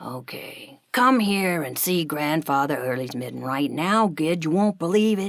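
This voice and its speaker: A woman performs a put-on character voice at a very deep, low pitch. She keeps a moderate pace with hardly any pauses. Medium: read story. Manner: chatty, folksy.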